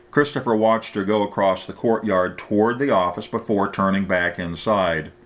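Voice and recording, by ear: The passage is read aloud in a natural voice.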